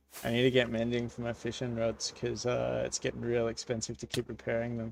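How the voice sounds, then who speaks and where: A man talks at a fairly quick pace with an Australian accent. His pitch sits in the medium range. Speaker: gaming streamer. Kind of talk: live gameplay stream chat. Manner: casual, animated.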